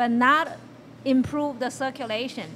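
A woman speaks with a high pitch. There is light background noise behind her. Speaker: guest. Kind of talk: interview answer. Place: studio. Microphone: handheld.

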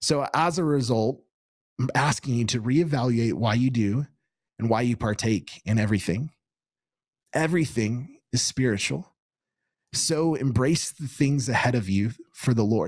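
Recorded dry with no echo against a quiet background, a man with an American accent talks at a moderate pace, using ordinary pitch variation and long, frequent pauses. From Kansas. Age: 30s. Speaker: pastor. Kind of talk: sermon. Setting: studio. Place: studio. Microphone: studio mic.

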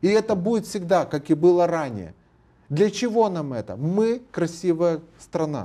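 A man's high-pitched voice with a dark, mellow tone, at a fairly slow pace against a quiet background. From Moldova. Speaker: lawyer and public figure; guest. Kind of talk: TV interview. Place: studio. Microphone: lapel.

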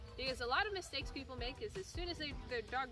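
Clear music plays behind a woman who speaks at a fairly quick pace, the sound dry with no echo. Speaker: dog trainer vlogger. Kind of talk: tutorial. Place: garden. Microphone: camera far.

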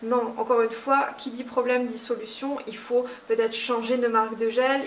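Light background noise sits behind a woman whose fairly high voice moves at a fairly slow pace in a monotone, flat intonation. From Moselle, France. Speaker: nail technician trainer. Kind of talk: tutorial. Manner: halting, many fillers.

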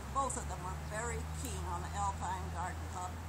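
Speech at a fairly slow pace is heard over loud background noise. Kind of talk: memorial tribute speech. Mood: warm, reminiscing. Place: garden. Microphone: camera far.

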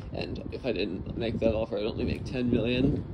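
Noticeable background noise is audible while a man speaks at a moderate pace. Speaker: channel owner vlogger. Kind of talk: casual vlog chat. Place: station. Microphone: phone near.

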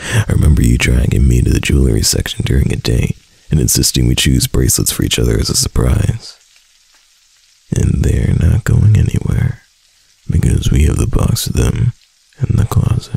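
Putting on a character voice, a man talks at a moderate pace in an extremely low pitch with a slightly mellow tone, lively intonation, a husky, rough edge and vocal fry.

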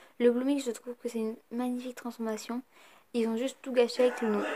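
A woman's flat, monotone voice over noticeable background noise. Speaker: YouTuber. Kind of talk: casual vlog talk. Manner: hesitant with many fillers.

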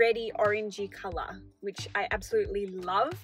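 A woman speaks over faint background music, the sound dry and free of echo. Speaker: crochet vlogger. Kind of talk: casual vlog chat. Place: car. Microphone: phone near.

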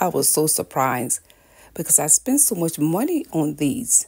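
This woman has a very deep, low pitch and a dark, mellow tone. Vocal fry runs through her speech. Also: quiet background. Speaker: lifestyle vlogger. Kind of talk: casual vlog chat. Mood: warm, upbeat, religious blessing. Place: kitchen. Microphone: phone near.

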